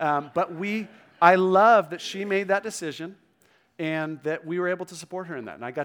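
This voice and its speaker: A man with an ordinary speaking voice at a moderate pace, on a very clean recording with a silent background. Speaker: pastor. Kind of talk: sermon. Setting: church.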